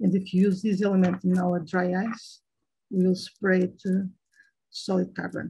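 In a Portuguese accent, a woman speaks at a fairly slow pace in a dark, mellow, somewhat breathy tone with monotone, flat intonation over a quiet background. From Portugal. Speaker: chemical researcher; guest lecturer. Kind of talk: lecture. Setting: video call. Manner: halting, many fillers. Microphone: video call.

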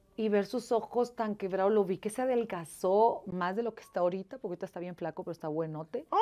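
This woman talks fairly quickly. Her pitch moves up and down in an ordinary way. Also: big swings in loudness. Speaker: interview guest. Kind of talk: interview answer. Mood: emotional, animated storytelling. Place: studio.

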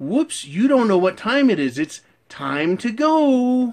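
A female-sounding put-on character voice, fairly high and sing-song, moves in very wide pitch swings. The pace is fairly slow. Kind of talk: teacherly, patronizing. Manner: condescending, sing-song.

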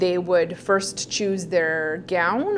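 Light noise can be heard behind a woman as she talks. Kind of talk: interview answer. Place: office.

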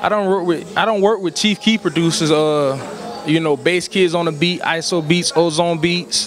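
With an American accent, a man talks at a moderate pace in a high pitch, his loudness very even, over light background noise in a dry sound with no echo. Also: fairly even intonation. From US South, Orangeburg, South Carolina; South Carolina. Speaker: rapper; interviewee. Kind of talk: casual interview. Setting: live music event venue. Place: hall. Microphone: handheld.

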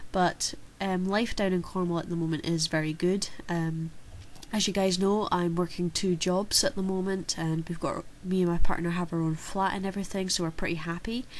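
A woman's fairly low voice with monotone, flat intonation at a moderate pace. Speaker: card game channel host. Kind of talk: casual Q&A vlog answer.

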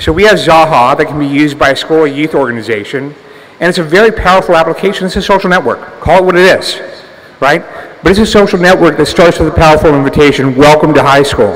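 A man talks at a very fast pace. His pitch sits fairly high. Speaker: entrepreneur, conference speaker. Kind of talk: conference talk. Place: hall. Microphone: podium.

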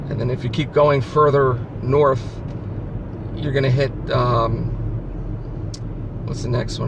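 A man talks at a fairly slow pace in a dry sound with no echo, with noticeable background noise present. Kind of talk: casual vlog chat. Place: car. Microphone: phone near.

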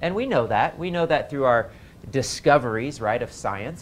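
Over light background noise, a man talks at a fairly quick pace with ordinary pitch variation. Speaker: health class teacher. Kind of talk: lecture. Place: classroom.

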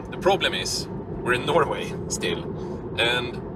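With loud background noise behind him, a man speaks at a moderate pace, and the sound is dry with no echo. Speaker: driver vlogger. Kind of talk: casual vlog chat. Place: car. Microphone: phone near.

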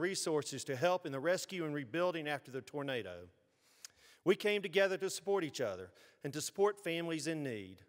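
A man's high-pitched voice, very fast, with ordinary pitch variation over a quiet background. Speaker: city mayor. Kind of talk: formal address speech. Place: stage. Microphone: podium.

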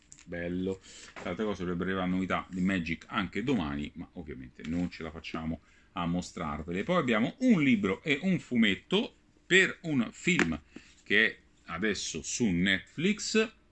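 Lively intonation marks this man's speech. His pitch is very deep and low. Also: moderate pace. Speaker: comics news show host. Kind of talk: product review roundup. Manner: animated.

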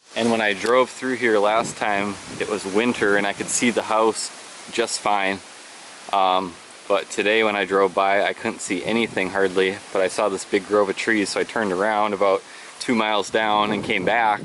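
Over noticeable background noise, a man with a fairly low pitch talks in a monotone, flat intonation. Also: moderate pace, dry sound with no echo. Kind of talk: casual vlog chat. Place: open country. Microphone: phone near.

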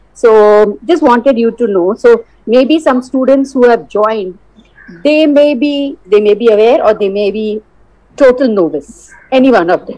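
A woman speaks at a fairly slow pace in a fairly high pitch, her dark, mellow tone carrying lively intonation. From India. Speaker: college vice principal; college faculty host. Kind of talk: casual chat. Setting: video call. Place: home room. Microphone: video call.

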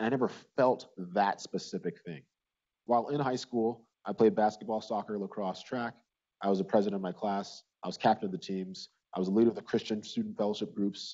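Against a quiet background, a man talks in an ordinary speaking voice, fairly low in pitch, fairly quick, with fairly even intonation. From Nigeria, raised in US Midwest from childhood. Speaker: physician and speaker. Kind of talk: conference talk. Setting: stage with audience. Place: hall. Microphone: lapel.

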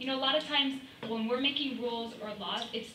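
A high-pitched woman's voice with audible room echo and light background noise. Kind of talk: public testimony. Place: meeting room.

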